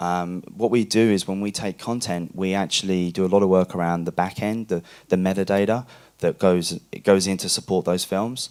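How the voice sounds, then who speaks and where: A man's very deep, low voice with fairly even intonation, on a very clean recording with a silent background. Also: moderate pace. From Australia. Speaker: VOD platform executive. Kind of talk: panel discussion. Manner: halting.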